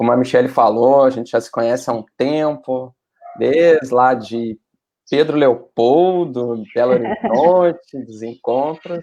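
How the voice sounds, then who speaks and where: Using a Rio Grande do Sul accent, a man speaks in a dark, mellow tone at a medium pitch and a fairly slow pace, with ordinary pitch variation and big swings in loudness. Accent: gaúcho accent (Rio Grande do Sul). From southern Brazil, Porto Alegre. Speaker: spiritist speaker. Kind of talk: casual talk.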